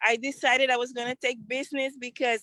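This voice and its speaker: A woman with a Central American accent speaks at a high pitch and a moderate pace, her tone bright and sharp. Her intonation is fairly even, and the sound is dry and close with no echo. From Honduras, Garifuna community in Trujillo, Colón. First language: Garifuna. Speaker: entrepreneur and community organizer. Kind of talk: testimony.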